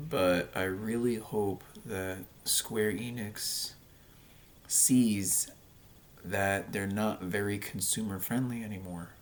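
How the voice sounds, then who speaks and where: A man speaks at a very slow pace with a fairly low pitch. Long, frequent pauses break up his speech. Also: fairly even intonation. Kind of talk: casual talk to camera. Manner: hesitant, rambling.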